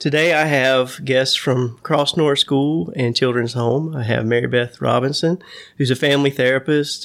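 A man with a plain, everyday voice, medium pitch, a moderate pace and fairly even intonation. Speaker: podcast host. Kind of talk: casual interview conversation.

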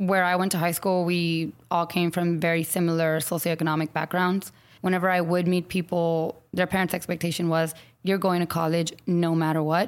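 With an American accent, a woman speaks in an ordinary speaking voice at a fairly low pitch and a fairly quick pace, her loudness very even and her intonation fairly even, on a very clean recording with a silent background. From San Antonio, Texas. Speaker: elementary school teacher. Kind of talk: interview conversation.

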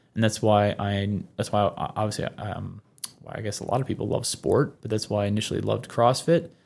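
On a very clean recording with a silent background, a man talks fairly quickly in a fairly low pitch with ordinary pitch variation. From Labrador, Canada. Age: 30s. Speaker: gym owner and fitness coach. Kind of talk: casual interview chat.

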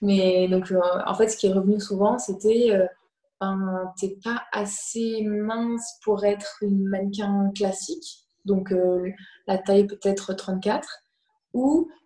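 Very slowly and with fairly even intonation, a woman of medium pitch speaks. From France. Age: 20s. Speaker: fashion model. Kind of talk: online talk interview.

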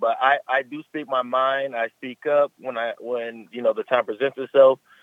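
This is a man with an ordinary speaking voice. His medium pitch follows fairly even intonation. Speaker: pro football player. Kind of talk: radio interview. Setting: phone call.

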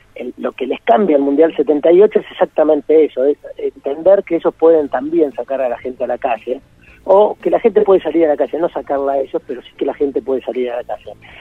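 A man with an ordinary speaking voice, fairly high in pitch, talks at a fairly quick pace with big swings in loudness and ordinary pitch variation. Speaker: writer and journalist. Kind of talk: interview.

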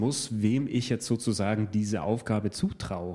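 The tone is dark and mellow. A man is the speaker. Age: 30s. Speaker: learning coach and guest interviewer. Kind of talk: conversational interview.

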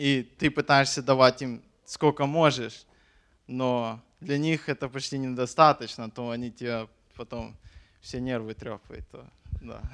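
On a very clean, dry, close recording with a silent background and no echo, a man at medium pitch speaks fairly slowly with fairly even intonation, big swings in loudness, and long, frequent pauses. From Ukraine. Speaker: missionary. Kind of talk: testimony.

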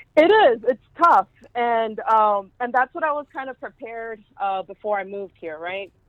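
Big swings in loudness and lively intonation run through speech at a moderate pace. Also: woman, fairly high pitch for a woman. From Houston, Texas (East End). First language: Spanish. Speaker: zine artist. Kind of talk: casual interview. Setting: phone call.

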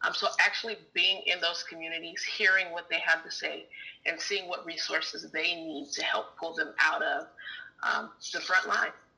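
Amid noticeable background noise, a woman with an American accent speaks at a moderate pace. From Fresno, California. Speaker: climate justice organizer. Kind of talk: interview.

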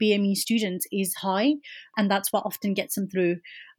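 A woman of medium pitch speaks at a moderate pace, somewhat breathy and with fairly even intonation. The recording is very clean, dry and close, with no echo and a silent background. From Birmingham, England. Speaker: academic researcher. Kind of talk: interview.

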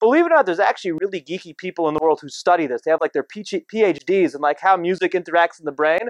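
A man with a high pitch and a New Jersey accent talks at a very fast pace in an animated tone, with dry, close sound and no echo. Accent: New Jersey American. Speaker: rabbi and speaker. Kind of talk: talk to live audience. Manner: casual, animated.

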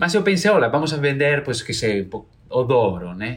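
A man's fairly high voice with a Spanish accent, moderate pace, very wide pitch swings and vocal fry. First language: Spanish (speaking Portuguese). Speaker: entrepreneur, doll seller, violinist. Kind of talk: interview testimony.

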